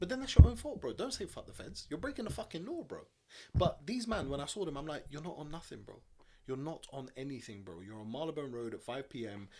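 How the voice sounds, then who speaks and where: Very fast speech with big swings in loudness comes from a man with a London accent. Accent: London multicultural English. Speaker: podcast co-host. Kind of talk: casual chat.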